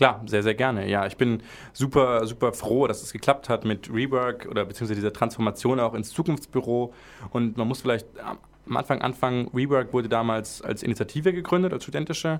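At a fairly quick pace, a man speaks in a medium pitch with ordinary pitch variation. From Friedrichshafen, southern Germany (Lake Constance). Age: 20s. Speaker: student vice president at a university. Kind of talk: casual interview chat.

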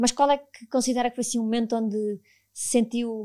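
A woman's dark, mellow voice at a fairly high pitch with fairly even intonation, in a very clean recording with a silent background. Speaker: podcast host, HR professional. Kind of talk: interview.

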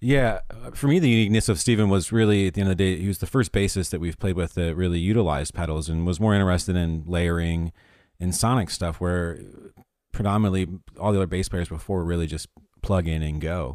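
On a very clean recording with a silent background, a man with a very deep, low pitch talks at a very fast pace with ordinary pitch variation. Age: 30s. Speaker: band singer. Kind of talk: casual interview.

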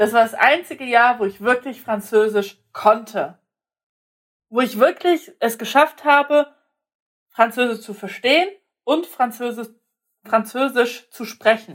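A woman with a high pitch speaks in an animated tone at a fairly slow pace, with ordinary pitch variation and long, frequent pauses. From Germany, partly raised in Poland. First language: Polish (speaking German). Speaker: podcast co-host. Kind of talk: casual chat.

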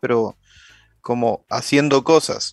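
In a flat monotone, a man of medium pitch speaks at a fairly slow pace, the sound dry and close with no echo and the background quiet. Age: 20s. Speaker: podcast co-host. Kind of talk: casual chat.

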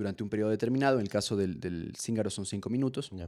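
On a very clean recording with a silent background, a man with a dark, mellow tone talks at a fairly quick pace with ordinary pitch variation. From Ecuador. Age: 20s. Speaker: comedian and musician. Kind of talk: casual chat.

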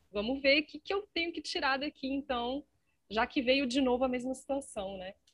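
A woman's high-pitched voice at a moderate pace. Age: 40s. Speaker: podcast host. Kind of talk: interview.

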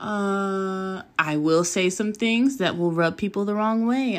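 In a Californian accent, a woman of medium pitch speaks at a fairly slow pace with lively intonation, recorded very cleanly against a silent background. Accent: Californian American English. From Southern California. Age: 20s. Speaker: podcast host. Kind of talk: casual monologue. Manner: casual with fillers.

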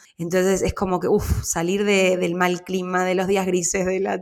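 A woman with a fairly low voice speaks at a moderate speed. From Argentina. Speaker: podcast host. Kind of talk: interview.

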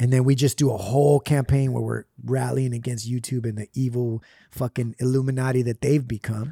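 A man's dark, mellow, somewhat breathy voice at medium pitch, fairly quick and monotone, flat in intonation, with a dry, close sound and no echo. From US West Coast, Puerto Rican family. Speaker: rapper. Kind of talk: casual chat.

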